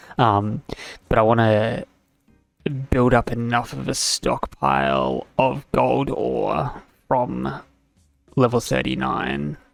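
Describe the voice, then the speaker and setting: A man talks at a very slow pace in a fairly low voice with very wide pitch swings. Long, frequent pauses break his speech, and music plays in the background. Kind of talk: casual gameplay commentary.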